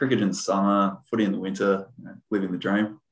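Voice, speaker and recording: This man has an Australian accent. His voice is pitched very deep and low. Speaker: former pro footballer and coach. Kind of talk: casual interview.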